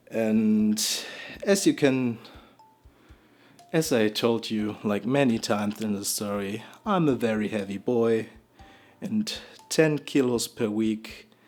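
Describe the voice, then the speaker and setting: Music in the background behind a man with a strong non-native accent at medium pitch, very slow pace and long, frequent pauses. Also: ordinary pitch variation. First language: not English. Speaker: storytime vlogger. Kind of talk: storytelling monologue. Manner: halting, many repetitions and false starts.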